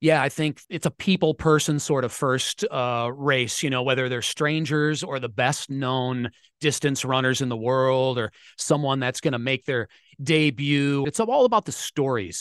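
With a normal speaking voice, a man talks at a moderate pace in a fairly high pitch with ordinary pitch variation, the sound dry and close with no echo. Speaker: sports radio reporter. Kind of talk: interview.

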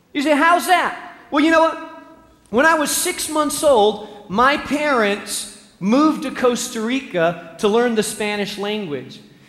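Amid noticeable background noise and audible room echo, a man speaks at a fairly slow pace in an extremely high pitch with very wide pitch swings. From Spain. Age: 40s. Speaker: pastor. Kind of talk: sermon.

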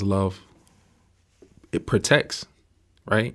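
A man's fairly low voice stays monotone and flat. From Miami, Florida. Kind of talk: casual faith discussion.

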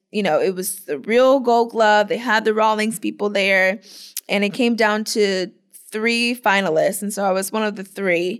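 In an American accent, an ordinary speaking voice moves at a fairly slow pace with fairly even intonation over a very clean recording and a silent background. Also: woman, medium pitch for a woman. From Florida, US. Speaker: professional softball player. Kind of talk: interview.

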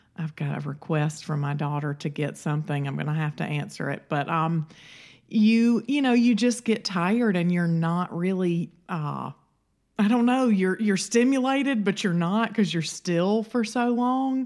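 With an American accent, a woman speaks at a medium pitch. Her pace is moderate and her intonation lively. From Alabama, US South. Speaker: podcast co-host. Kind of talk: casual chat. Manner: conversational, relaxed.

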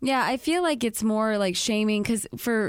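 A woman at a moderate pace has an unremarkable speaking voice with ordinary pitch variation, recorded very cleanly against a silent background. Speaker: author and podcast guest. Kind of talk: casual chat.

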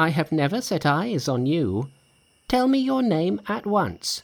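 Using a put-on character voice, a man speaks at a fairly slow pace with fairly high pitch, big pitch swings, and vocal fry.

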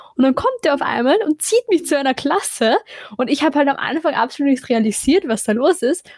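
The speaker talks at a fairly quick pace with lively intonation, in a dry, close sound with no echo but noticeable background noise. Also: woman, high pitch for a woman. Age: 20s. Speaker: podcast co-host. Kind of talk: casual chat.

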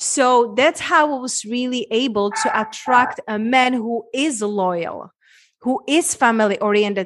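A woman talks at a fairly slow pace, her pitch high with ordinary variation. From Czech Republic, small town. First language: Czech. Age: 30s. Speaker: women's transformation coach. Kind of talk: interview conversation.

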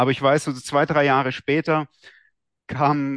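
A man's fairly high-pitched, unremarkable speaking voice, dry and close with no echo, at a moderate pace over a quiet background. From Swabia, southern Germany (Esslingen near Stuttgart). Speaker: trader and trading-system programmer. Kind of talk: interview.

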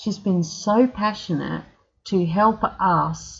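With an Australian accent, a woman talks at a medium pitch, somewhat breathy, with ordinary pitch variation over a quiet background. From South Australia. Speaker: podcast host and mining truck driver. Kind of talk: casual chat, podcast intro and outro. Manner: casual, chatty, self-deprecating.

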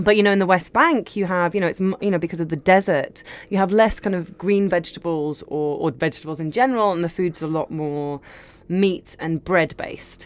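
A woman with a London accent speaks at a fairly quick pace. Her pitch is fairly low with ordinary variation. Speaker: cookbook author and cook. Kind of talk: casual interview chat.

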